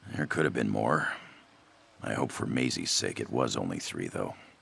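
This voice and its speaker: Putting on a character voice, a man speaks at a moderate pace with a raspy, very deep, low pitch. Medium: machinima. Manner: anxious, rambling, self-deprecating.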